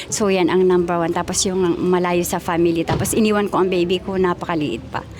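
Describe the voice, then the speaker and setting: A woman speaks at a very fast pace with a medium pitch and fairly even intonation. Noticeable background noise runs underneath. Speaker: overseas Filipino worker. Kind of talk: street interview.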